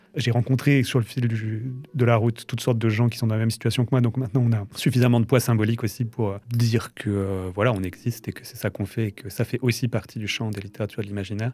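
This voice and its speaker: Talking at a very fast pace with hardly any pauses, a man uses a medium pitch, fairly even intonation and a dark, mellow, somewhat breathy tone. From France, Strasbourg. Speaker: novelist. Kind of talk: interview. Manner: halting, with hesitations.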